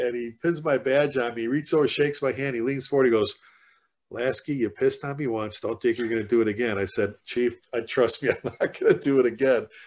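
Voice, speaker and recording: A man with a Chicago accent talks at a fairly quick pace, his pitch medium with ordinary variation. The background is quiet. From South Side of Chicago. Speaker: fire chief and author, leadership speaker. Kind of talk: casual interview conversation.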